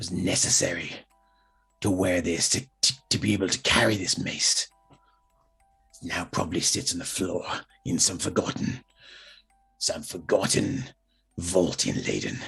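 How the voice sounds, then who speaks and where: Over faint background music, a man puts on a raspy character voice with a very deep, low pitch, a moderate pace, and long, frequent pauses. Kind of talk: dark tragic backstory monologue. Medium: actual play. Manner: halting, emotional storytelling.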